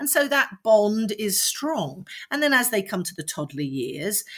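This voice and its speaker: A woman with a London accent at a moderate pace, in a very clean recording with a silent background. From London (Streatham). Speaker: parenting coach. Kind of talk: interview.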